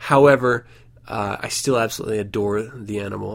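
This man has an unremarkable speaking voice and fairly low pitch. He moves at a fairly quick pace with fairly even intonation. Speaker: podcast host. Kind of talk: casual podcast monologue.

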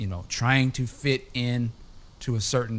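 A man speaks in a plain, everyday voice at a medium pitch. His intonation is fairly even. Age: 40s. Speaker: podcast host. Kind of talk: casual chat. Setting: remote call.

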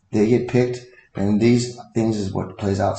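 In a room with audible echo, a man speaks in a somewhat breathy voice with fairly even intonation. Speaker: podcast guest. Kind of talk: casual chat.

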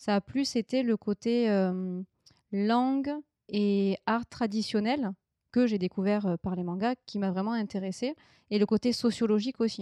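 Against a quiet background with a dry, close sound and no echo, a woman speaks at a fairly slow pace with long, frequent pauses, a fairly high pitch, a dark, mellow tone and fairly even intonation. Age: 30s. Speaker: illustrator. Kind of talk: interview.

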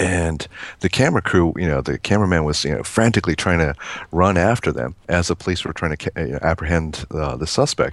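A man speaks at a fairly quick pace in a very deep, low pitch. The background is quiet. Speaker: board game designer. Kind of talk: casual chat. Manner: halting.

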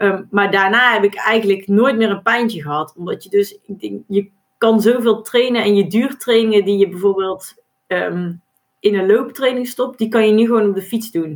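Pitch varies in an ordinary way as the words come at a moderate speed. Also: woman, medium pitch for a woman. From Brabant, Netherlands. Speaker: duathlon world champion and accountant. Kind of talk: podcast interview.

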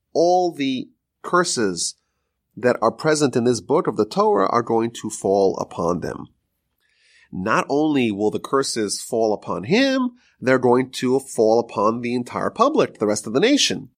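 A man's unremarkable speaking voice at a medium pitch, fairly slow pace and lively intonation, on a very clean recording with a silent background. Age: 30s. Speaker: rabbi teaching weekly Torah portion. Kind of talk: lecture.

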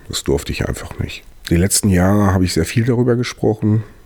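A man is speaking. There is noticeable noise in the background. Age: 40s. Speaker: podcast host and cannabis patient. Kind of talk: monologue introduction.

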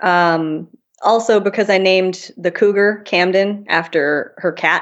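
A woman with an American accent speaks at a medium pitch in an unremarkable speaking voice. Her pace is fairly slow. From Minnesota, US Midwest. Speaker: novelist. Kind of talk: interview.

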